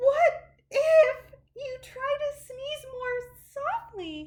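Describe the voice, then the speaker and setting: A woman's put-on character voice, extremely high in pitch, at a very slow pace. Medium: read story. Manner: bubbly, excitable.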